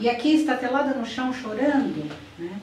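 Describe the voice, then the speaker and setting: The recording has audible room echo. Noticeable background noise runs underneath. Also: woman. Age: 60s. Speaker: educational psychologist. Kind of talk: conference talk. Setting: conference. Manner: halting.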